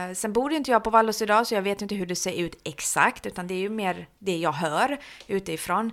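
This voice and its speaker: A woman's unremarkable speaking voice, medium-pitched and at a fairly quick pace. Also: ordinary pitch variation. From Halmstad, Sweden (born in Iran). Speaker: social services developer. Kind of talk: interview. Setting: office.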